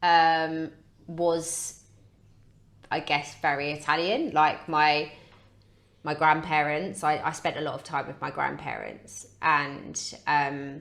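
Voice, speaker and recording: A woman with a British accent speaks at a very slow pace, her pitch very deep and low. Her intonation is fairly even, with long, frequent pauses. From Britain. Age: 30s. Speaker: podcast guest, personal training client. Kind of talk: casual chat. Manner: halting.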